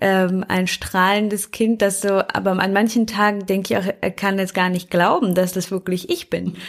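The speech moves at a moderate pace with monotone, flat intonation and hardly any pauses. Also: woman, medium pitch for a woman. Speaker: lawyer, podcast co-host. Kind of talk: casual chat. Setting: video call.

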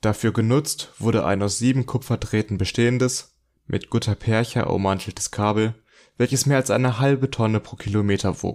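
In a very clean recording with a silent background, a man is talking. His pitch sits in the medium range. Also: moderate pace. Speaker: podcast host, student. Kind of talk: scripted narration; casual chat. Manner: less raspy voice than co-host.

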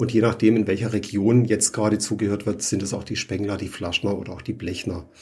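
A man's fairly low, somewhat breathy voice with a dark, mellow tone, fairly quick and with hardly any pauses, its intonation fairly even. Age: 50s. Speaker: plumber and trade magazine editor. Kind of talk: interview.

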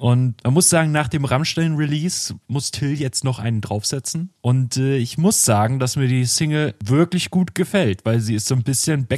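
In a dry, close sound with no echo, a man speaks at a moderate pace and medium pitch with ordinary pitch variation. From northern Germany. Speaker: music podcast co-host. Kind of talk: casual chat. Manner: halting, many fillers.

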